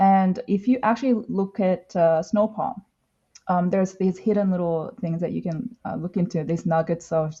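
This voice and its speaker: The voice is somewhat breathy and dark, mellow in tone, with a non-native accent. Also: woman. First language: not English. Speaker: comic artist. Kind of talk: casual interview chat. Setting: live podcast. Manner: halting, many fillers.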